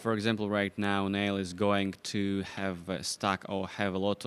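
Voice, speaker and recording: A man's fairly low voice in monotone, flat intonation. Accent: non-native. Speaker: backgammon commentator. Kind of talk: live commentary. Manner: halting.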